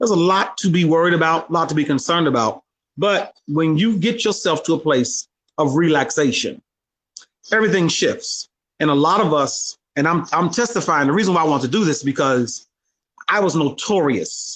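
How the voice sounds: A man talks at a moderate pace in a fairly high, fairly bright voice with lively intonation.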